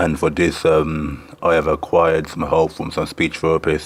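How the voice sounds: A man's extremely low voice at a moderate pace, with little pitch movement.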